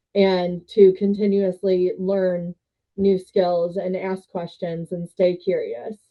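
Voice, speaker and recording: A woman speaks very slowly in a flat, monotone way. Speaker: sales director. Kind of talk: interview. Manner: loud.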